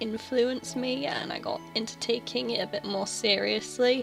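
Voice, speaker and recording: Over background music, a woman talks at a moderate speed. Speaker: artist. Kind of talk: casual voiceover over drawing timelapse. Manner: stutters.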